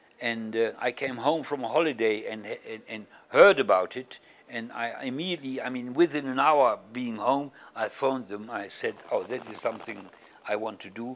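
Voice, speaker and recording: With a German accent, this voice moves at a moderate pace, with ordinary pitch variation, big swings in loudness and light background noise. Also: man. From Germany. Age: 70s. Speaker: Holocaust survivor and activist. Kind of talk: interview. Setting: East Jerusalem, on location. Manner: halting, many repetitions.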